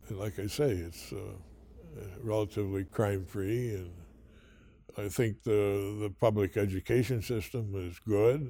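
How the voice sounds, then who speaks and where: Somewhat breathy, a man with an American accent speaks in a dark, mellow tone, leaving long, frequent pauses. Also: very clean recording, silent background. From Northern New York (Massena area). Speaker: retired businessman, local philanthropist. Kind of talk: interview conversation. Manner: halting, many fillers and repeats.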